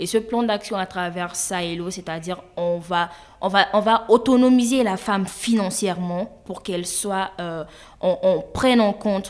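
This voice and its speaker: A woman with an unremarkable speaking voice talks fairly slowly, at a medium pitch with fairly even intonation. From Mali. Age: 20s. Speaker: women's rights activist. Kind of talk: interview.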